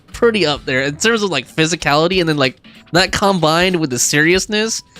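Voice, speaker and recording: Very fast speech with music in the background. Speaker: gaming streamer. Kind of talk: casual live stream commentary. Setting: live stream. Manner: stutters at times.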